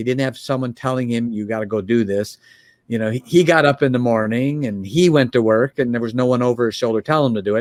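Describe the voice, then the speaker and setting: A man speaks at a medium pitch in a dry, close sound with no echo. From US Midwest, Chicago area. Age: 60s. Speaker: business coach, founder. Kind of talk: podcast interview.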